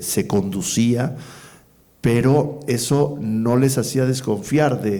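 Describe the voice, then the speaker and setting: Very slow speech comes from a man with a dark, mellow tone. His intonation is lively. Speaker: poet and executive coordinator of a cultural institution, interviewer. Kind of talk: interview conversation, thoughtful and hesitant delivery.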